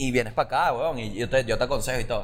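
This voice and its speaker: Very rapid male speech with ordinary pitch variation. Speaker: podcast co-host, comedian. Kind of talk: casual comedic chat.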